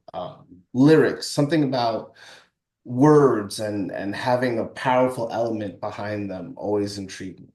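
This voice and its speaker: Dark, mellow tone at a fairly slow pace, with ordinary pitch variation and audible room echo. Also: man. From Brooklyn, New York, US. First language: French. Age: young. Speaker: musician and songwriter. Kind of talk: interview. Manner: halting.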